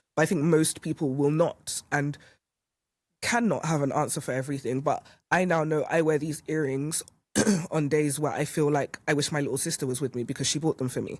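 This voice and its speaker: A woman's very deep, low-pitched voice at a fairly quick pace with fairly even intonation, on a very clean recording with a silent background. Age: 30s. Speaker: podcast guest sharing personal story. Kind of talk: casual conversation. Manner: halting, frequent self-repetition.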